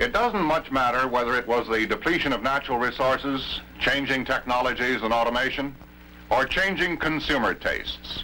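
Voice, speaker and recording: A man with an American accent at a moderate pace, over light background noise. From United States. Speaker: television news anchor narrating a documentary. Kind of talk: documentary film narration. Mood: calm, authoritative.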